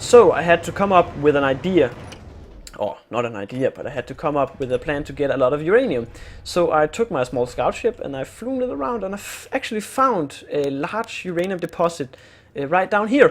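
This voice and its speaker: A man with a Danish accent speaks at a fairly quick pace in a high voice that makes very wide pitch swings. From Denmark. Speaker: gaming youtuber. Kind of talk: gameplay tutorial. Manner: halting, many fillers and repeats.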